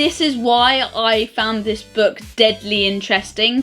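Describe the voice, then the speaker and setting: Over music in the background, a woman with a British accent talks at a fairly high pitch with ordinary variation. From United Kingdom. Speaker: vlogger. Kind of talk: book review.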